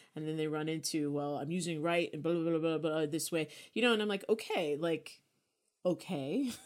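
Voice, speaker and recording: In an American accent, a woman with a fairly low pitch speaks at a moderate pace in an unremarkable speaking voice with ordinary pitch variation. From New York. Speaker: podcast co-host and writer. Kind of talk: casual chat.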